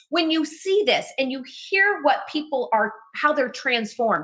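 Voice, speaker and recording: In a raised, projected voice with a bright, sharp and enthusiastic tone, a woman speaks at a fairly slow pace with very wide pitch swings. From Texas. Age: 50s. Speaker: wellness TV host. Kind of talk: sales pitch.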